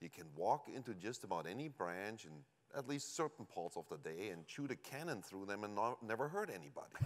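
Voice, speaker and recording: With a German accent, a man speaks in very wide pitch swings. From Germany. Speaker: company executive. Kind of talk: conference presentation.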